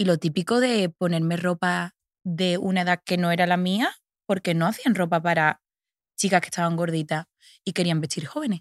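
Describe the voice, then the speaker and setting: A woman with an Andalusian accent speaks at a moderate pace in a fairly low voice with ordinary pitch variation, in a very clean, dry, close recording with no echo and a silent background. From Andalusia, Seville province (Los Palacios y Villafranca). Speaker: fashion model. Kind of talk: interview conversation.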